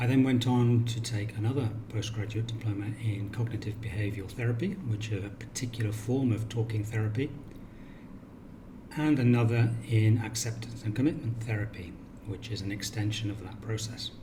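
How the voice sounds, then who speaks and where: With a British accent, a man talks at a fairly quick pace in a medium pitch with fairly even intonation, and the room echo is audible. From Cornwall, England. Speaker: counsellor. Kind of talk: self-introduction video.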